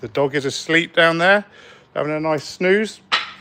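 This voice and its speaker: With a West Country accent, a man talks at a moderate pace against noticeable background noise. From South West England. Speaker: spray paint artist. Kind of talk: live stream woodworking demo. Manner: casual, hesitant.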